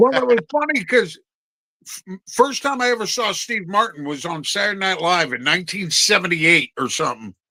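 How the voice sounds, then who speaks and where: A man speaks at a high pitch in a raised, projected voice with a bright, sharp tone. His pace is fairly quick, and his pitch swings very widely. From New Jersey. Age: 50s. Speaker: podcast co-host. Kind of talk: casual chat.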